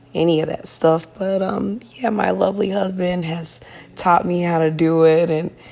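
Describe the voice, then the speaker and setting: A woman speaks at a moderate pace with a fairly low pitch. Noticeable background noise runs underneath. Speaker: lifestyle vlogger. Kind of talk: casual voiceover chat.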